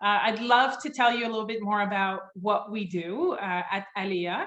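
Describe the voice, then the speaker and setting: A woman with a French accent speaks at a fairly high pitch with ordinary pitch variation. Her pace is fairly slow, and the room echo is audible. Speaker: company founder and CEO. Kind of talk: webinar presentation. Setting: video call. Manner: loud.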